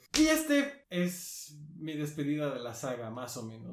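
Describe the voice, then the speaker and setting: A man's voice with audible room echo. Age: 20s. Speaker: podcast co-host. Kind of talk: casual chat.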